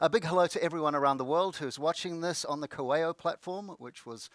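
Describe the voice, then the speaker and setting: Very fast speech from a man with a New Zealand accent, dry and close with no echo. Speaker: conference moderator, former research professor. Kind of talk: event hosting. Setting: online conference broadcast.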